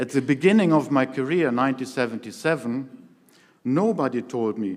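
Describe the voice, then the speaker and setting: In a very clean recording with a silent background, a man speaks at a medium pitch with ordinary pitch variation. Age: 60s. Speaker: helicopter pilot and association chairman. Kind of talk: keynote speech. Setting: stage with audience. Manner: formal.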